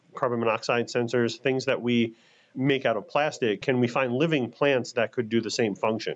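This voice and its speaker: The man has an ordinary speaking voice at medium pitch with ordinary pitch variation. He talks at a moderate pace against a quiet background. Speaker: scientist. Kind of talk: interview.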